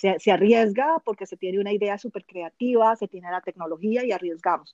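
A woman speaks in an ordinary speaking voice at a moderate pace, with medium pitch and ordinary pitch variation. The sound is dry and close with no echo. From Colombia. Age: 50s. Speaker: international trade consultant. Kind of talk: interview.

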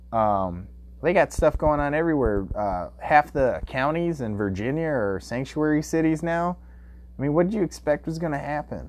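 A man's fairly high-pitched, unremarkable speaking voice with lively intonation at a moderate pace, against a quiet background. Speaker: podcast host. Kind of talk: solo podcast monologue, casual. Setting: home basement recording. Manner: casual, rambling.

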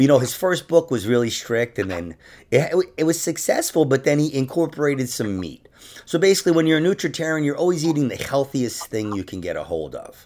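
In a very clean recording with a silent background, a man with a plain, everyday voice speaks at a fairly quick pace, fairly high in pitch, with lively intonation. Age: 40s. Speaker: podcast host and comedian. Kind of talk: casual chat.

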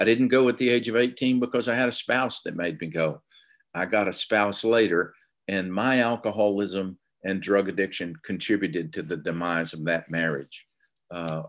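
Against a quiet background, a man speaks with a Southern US accent at a fairly low pitch. He keeps a moderate pace and ordinary pitch variation. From US South, Tennessee. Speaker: recovery meeting speaker. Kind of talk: testimony.

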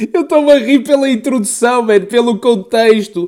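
A man with an extremely high voice talks at a moderate pace with lively intonation over noticeable background noise. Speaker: podcast co-host. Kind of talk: casual chat.

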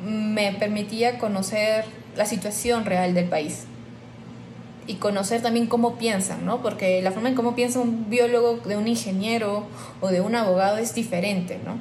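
With noticeable background noise and audible room echo, the speaker keeps a moderate pace and fairly even intonation. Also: woman, fairly high pitch for a woman. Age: 20s. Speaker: biologist. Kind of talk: interview testimony. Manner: hesitant with filler words.

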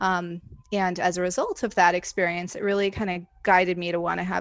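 Speaking at a fairly quick pace with an American accent, a woman with a medium-pitched voice and vocal fry is heard on a very clean recording with a silent background. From Indiana. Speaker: hypnotherapist and life coach. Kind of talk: interview.

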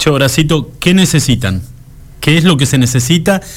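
Noticeable background noise sits under a voice with lively intonation at a moderate pace. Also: man. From Argentina, Santa Cruz (Patagonia). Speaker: radio host. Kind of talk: casual chat.

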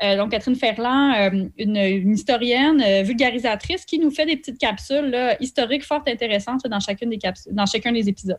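A woman talks at a very fast pace with a fairly high pitch. The background is quiet. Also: ordinary pitch variation, hardly any pauses. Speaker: cultural events producer. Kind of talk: radio interview.

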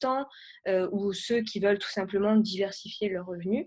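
A woman speaks in a plain, everyday voice at medium pitch and moderate pace with fairly even intonation. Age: 20s. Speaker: web entrepreneur and YouTuber. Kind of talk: podcast interview.

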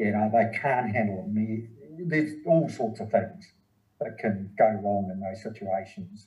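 Speaking slowly in a New Zealand accent, a man with a fairly low, somewhat breathy voice and ordinary pitch variation leaves long, frequent pauses amid audible room echo. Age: 60s. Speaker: running and triathlon coach. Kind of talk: casual interview.

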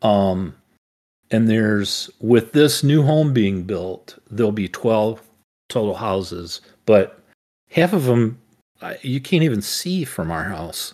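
Against a very clean, silent background, a man at medium pitch speaks very slowly with lively intonation. Long, frequent pauses break up his words. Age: 60s. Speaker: podcast co-host, father. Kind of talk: casual chat.

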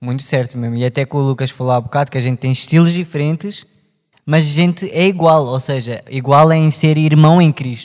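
Talking fairly quickly in a European Portuguese accent, a man with a fairly high voice shows ordinary pitch variation. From Portugal. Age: 20s. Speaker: podcast co-host. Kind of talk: casual chat.

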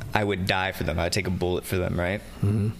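Background noise is noticeable. Through it, a man is talking. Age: 20s. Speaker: recovering alcoholic and musician. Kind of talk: casual chat.

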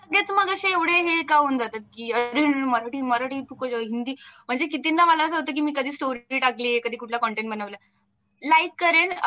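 A woman speaks in a high, bright and sharp tone with lively intonation. Her voice is raised and projected. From Maharashtra, India. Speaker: content creator, comedy video maker. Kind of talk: casual interview.

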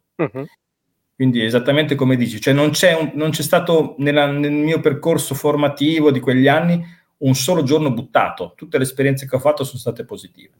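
With an ordinary speaking voice, a man talks at a fairly quick pace, his pitch fairly high and his intonation fairly even. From Italy, Reggio Emilia (Emilia-Romagna). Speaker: business consultant. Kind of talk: interview.

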